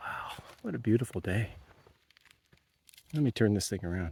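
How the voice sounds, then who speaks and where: Somewhat breathy and dark, mellow in tone, a man's fairly low voice moves at a moderate pace with lively intonation. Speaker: outdoor vlogger. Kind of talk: casual vlog narration. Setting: outdoors, walking trails. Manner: mumbling; hesitant, many fillers.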